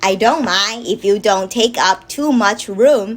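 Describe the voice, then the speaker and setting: A woman's put-on character voice, fairly high in pitch and fairly slow in pace. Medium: read story.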